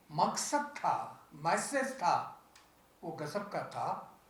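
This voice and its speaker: There is audible room echo around a man's voice. Noticeable background noise can be heard as well. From Punjab (Lahore area). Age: 80s+. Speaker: interfaith organization president. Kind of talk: press conference speech.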